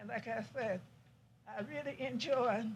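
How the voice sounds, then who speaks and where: Woman with an American accent, fairly high pitch, vocal fry and a fairly slow pace. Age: 90s. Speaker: honored elderly resident. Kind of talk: short speech.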